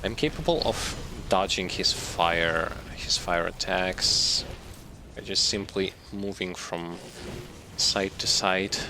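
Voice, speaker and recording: In a non-native accent, the speaker moves at a very slow pace with long, frequent pauses and ordinary pitch variation, over noticeable background noise. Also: man, very deep, low pitch for a man. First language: not English. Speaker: gaming streamer. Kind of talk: live gameplay commentary. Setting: live stream. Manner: halting, self-correcting.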